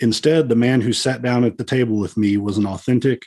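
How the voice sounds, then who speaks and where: Talking at a very fast pace, a man speaks with a Texan accent. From Texas, Dallas. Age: 50s. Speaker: police officer. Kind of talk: interview guest, personal story; reading aloud.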